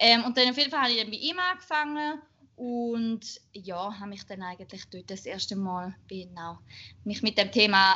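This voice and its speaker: Lively intonation lifts a woman's ordinary speaking voice, pitched fairly high and moving at a moderate pace. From Switzerland, Schaffhausen. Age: 20s. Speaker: bikini fitness athlete and marketing manager. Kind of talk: casual chat.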